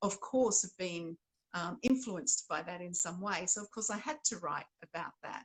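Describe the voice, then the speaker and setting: A woman speaks with an Australian accent at a medium pitch. Her voice is somewhat breathy. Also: lively intonation, moderate pace. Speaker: novelist. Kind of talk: interview conversation.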